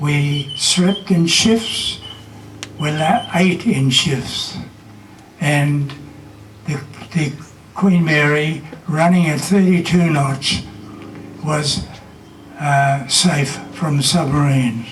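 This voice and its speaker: A man with a fairly high pitch talks at a very slow pace with long, frequent pauses amid noticeable background noise. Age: 80s+. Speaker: war veteran. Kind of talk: commemorative speech.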